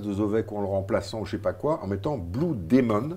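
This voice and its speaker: With a dark, mellow tone and lively intonation, a man speaks at a moderate pace in a fairly low pitch. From Belgium. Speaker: film critic. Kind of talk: casual chat.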